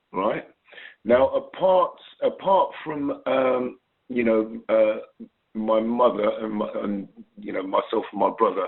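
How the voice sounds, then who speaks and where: A man at a very slow pace, with a slight Cockney accent. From England, London (born in Trinidad). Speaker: singer-songwriter and producer. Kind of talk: interview. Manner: hesitant, many fillers.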